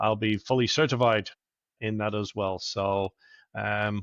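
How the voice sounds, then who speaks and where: An Irish accent from a man with fairly low pitch and fairly even intonation, dry and close with no echo, over a quiet background. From Ireland, Dublin. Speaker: operations advisor for business acquisitions. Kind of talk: casual business interview.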